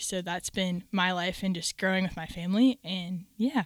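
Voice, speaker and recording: A woman talks at a fairly quick pace in a plain, everyday voice. Her pitch varies in an ordinary way. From Minnesota. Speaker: ministry photographer and event coordinator. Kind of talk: casual chat.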